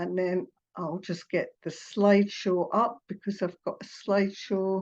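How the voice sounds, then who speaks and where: With monotone, flat intonation, a woman speaks at a fairly slow pace. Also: medium pitch for a woman. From Scotland, Edinburgh. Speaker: hypnotherapist. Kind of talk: online presentation. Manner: hesitant, many fillers.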